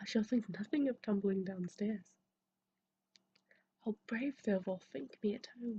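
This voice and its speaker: A soft-spoken woman whispers at a fairly slow pace, her voice somewhat breathy. The sound is dry and close, with no echo. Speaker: ASMR creator. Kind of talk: soft-spoken ASMR book reading. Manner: soft-spoken, whispery, relaxing.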